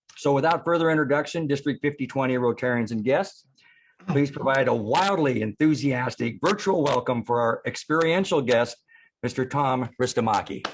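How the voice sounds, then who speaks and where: At a moderate pace, a man speaks in a fairly high voice with ordinary pitch variation and very even loudness. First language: not English. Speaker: conference emcee. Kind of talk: speaker introduction. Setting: virtual conference.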